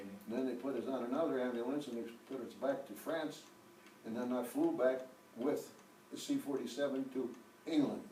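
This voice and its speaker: A man speaks at a moderate pace with fairly even intonation. Noticeable background noise runs behind him. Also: medium pitch for a man. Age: 80s+. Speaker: war veteran. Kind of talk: interview answer.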